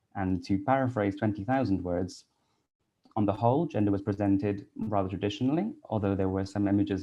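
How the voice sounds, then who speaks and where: A man talks at a very fast pace, his fairly low pitch showing ordinary pitch variation. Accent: Welsh. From Wales (Cardiff). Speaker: English teacher and researcher. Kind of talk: conference talk.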